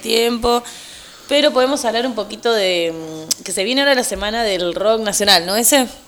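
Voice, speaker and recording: Over noticeable background noise, a woman with a fairly high pitch talks at a moderate pace with ordinary pitch variation. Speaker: youth radio co-host. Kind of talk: casual chat. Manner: animated.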